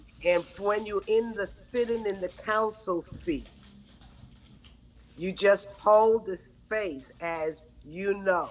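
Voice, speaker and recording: At a very slow pace broken by long, frequent pauses, a woman talks in a medium pitch with ordinary pitch variation. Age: 70s. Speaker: women's empowerment speaker. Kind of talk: conversational podcast interview.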